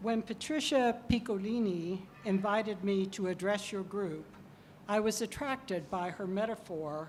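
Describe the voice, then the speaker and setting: With audible room echo, a woman at medium pitch and ordinary pitch variation speaks at a very slow pace. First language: English (speaking Spanish). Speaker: professor, keynote speaker. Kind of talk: lecture.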